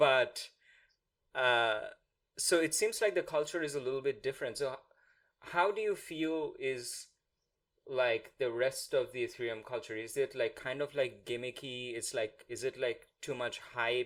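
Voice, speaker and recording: On a very clean recording with a silent background, a man with a Bengali accent talks at a moderate pace. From India. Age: 30s. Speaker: podcast host. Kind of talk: interview.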